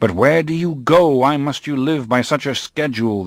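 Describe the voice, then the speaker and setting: A man puts on a whiny character voice, fairly high in pitch, at a moderate pace. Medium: read story. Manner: whining, querulous.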